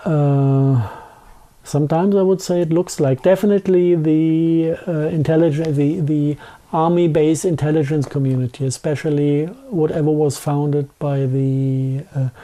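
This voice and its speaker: A strong German accent at a moderate pace. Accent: thick German. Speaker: conspiracy theory interviewee. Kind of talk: interview. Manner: halting.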